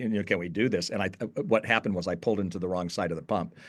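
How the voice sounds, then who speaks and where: A man talks at a very fast pace. The background behind him is quiet. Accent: American. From Southern California. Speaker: author and youth ministry leader. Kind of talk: podcast interview.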